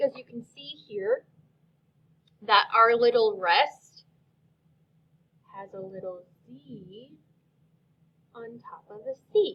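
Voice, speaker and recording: The speech comes at a very slow pace, with long, frequent pauses and big swings in loudness. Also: woman, fairly high pitch for a woman, ordinary pitch variation. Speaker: elementary music teacher. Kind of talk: tutorial. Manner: slow, clear.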